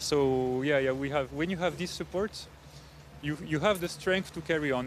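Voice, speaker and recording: Speaking at a moderate pace in a French accent, a man uses a fairly high pitch with ordinary pitch variation. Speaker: rowing club official, former Olympic rower. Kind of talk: live event interview. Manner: hesitant, many fillers.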